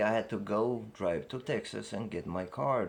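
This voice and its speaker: The speech comes at a very slow pace with lively intonation. It carries an Eastern European accent. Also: man. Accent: foreign accent (Eastern European). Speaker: upset customer. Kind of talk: heated argument. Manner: halting, stammering.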